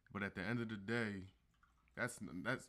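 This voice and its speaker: The speaker is a man. His pitch sits fairly low. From Philadelphia, US. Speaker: podcast guest. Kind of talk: casual chat.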